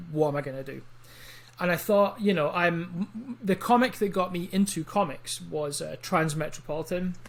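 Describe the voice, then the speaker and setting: With an Edinburgh accent, a man speaks at a moderate pace in a voice that is high for a man, using ordinary pitch variation. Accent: Scottish (Edinburgh). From Scotland, Edinburgh. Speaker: comic book writer. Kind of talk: interview.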